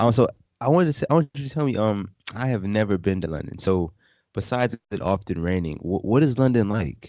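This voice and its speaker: Against a quiet background, a man with an American accent talks fairly quickly in a fairly low pitch, his tone dark and mellow and his intonation lively. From US South (Virginia). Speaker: podcast host. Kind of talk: casual interview.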